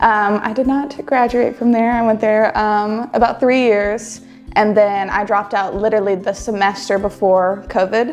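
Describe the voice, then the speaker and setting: With faint music in the background, a woman speaks with fairly even intonation. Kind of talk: interview answer. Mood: friendly, light laughter.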